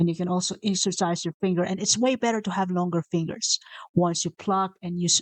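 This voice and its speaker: A woman with a Visayan Filipino accent speaks at a moderate pace and medium pitch. Her voice sounds dry and close, with no echo. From Philippines (Visayas). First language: Bisaya (Cebuano). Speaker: motivational video host. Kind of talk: casual motivational talk. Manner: unscripted, with self-corrections.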